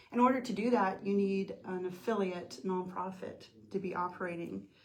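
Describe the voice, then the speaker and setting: Amid audible room echo and noticeable background noise, a woman with an American accent speaks at a medium pitch with fairly even intonation. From US, military family moving around. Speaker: nonprofit founder. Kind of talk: interview.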